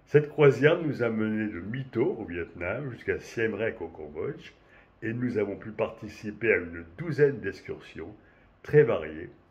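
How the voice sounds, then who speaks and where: Somewhat breathy and at a medium pitch, a man talks at a fairly slow pace with lively intonation and big swings in loudness. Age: 70s. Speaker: cruise passenger giving testimonial. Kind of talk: prepared testimonial, read-style. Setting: remote connection to webinar. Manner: formal.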